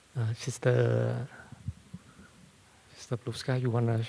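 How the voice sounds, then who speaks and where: Here a man speaks at medium pitch in a dark, mellow tone. His pace is fairly slow, and his voice is somewhat breathy. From Vietnam. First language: Vietnamese. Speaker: Buddhist monk, dharma teacher. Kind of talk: hosting a Q&A session. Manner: halting, many fillers.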